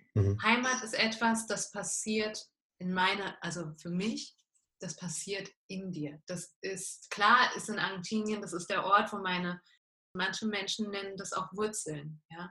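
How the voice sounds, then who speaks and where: Her pitch medium and varying in an ordinary way, a woman speaks at a fairly slow pace with big swings in loudness. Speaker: life coach. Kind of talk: interview. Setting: video call.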